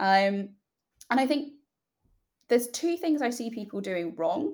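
With a British accent, a woman talks at a high pitch that swings very widely. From United Kingdom. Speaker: company founder and CEO. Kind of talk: interview, casual conversation.

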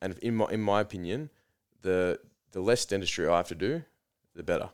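With an Australian accent, a man is talking. His pace is fairly quick. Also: very clean recording, silent background. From Australia, Melbourne area. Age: 20s. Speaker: dentist. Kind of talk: casual interview chat. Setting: studio.

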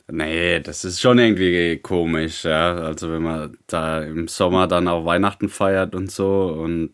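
A man with a very deep, low pitch speaks at a fairly slow pace in a monotone, flat intonation, with hardly any pauses and big swings in loudness. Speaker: podcast co-host. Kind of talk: casual chat. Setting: online call, streamed. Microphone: new microphone.

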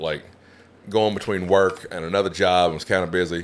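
On a very clean recording with a silent background, a man speaks with an Appalachian accent. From West Virginia, Appalachia. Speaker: stand-up comedian. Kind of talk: casual chat.

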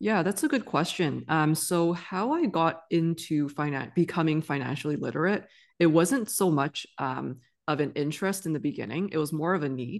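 A woman with a normal speaking voice talks at a moderate pace and a fairly low pitch. Her intonation is lively, over a quiet background. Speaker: physician and financial literacy educator. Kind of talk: casual interview conversation.

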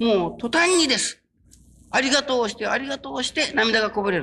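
A man speaks in a raised, projected voice at a fairly quick pace. His tone is bright and sharp, with lively intonation. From Japan, Kyushu (Kurume, Fukuoka). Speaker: religious minister. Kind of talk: sermon. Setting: stage with audience.

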